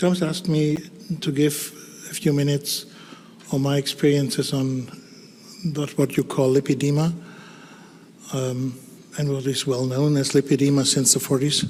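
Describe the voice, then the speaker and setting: A man with a German accent, fairly high pitch, moderate pace, flat monotone delivery and long, frequent pauses. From Germany. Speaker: dermatologist. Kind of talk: conference talk. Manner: halting.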